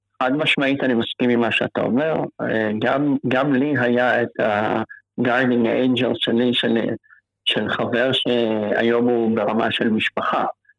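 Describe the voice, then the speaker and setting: Speaking at a fairly slow pace, a man keeps a medium pitch, a monotone, flat intonation and very even loudness. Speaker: cancer patient. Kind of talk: interview.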